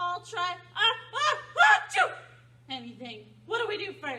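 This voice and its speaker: A cartoonish character voice at an extremely high pitch comes at a moderate pace. Its pitch swings very widely. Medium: puppet. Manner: hesitant, stammering.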